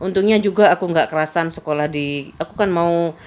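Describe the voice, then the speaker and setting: With a Madurese accent, a woman speaks at a moderate pace and a fairly low pitch, keeping her intonation fairly even. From Madura, Indonesia. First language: Madurese (speaking Indonesian). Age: 50s. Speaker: vlogger. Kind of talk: casual personal storytelling.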